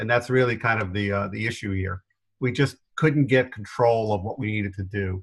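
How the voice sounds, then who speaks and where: A somewhat breathy, fairly low-pitched man's voice in an American accent, fairly quick with fairly even intonation, on a very clean recording with a silent background. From New York area. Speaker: business consultant. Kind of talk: interview.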